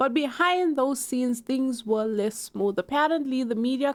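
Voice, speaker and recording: With a South African accent, the speaker sounds animated and shows ordinary pitch variation. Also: woman. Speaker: YouTube commentator. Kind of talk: online drama commentary.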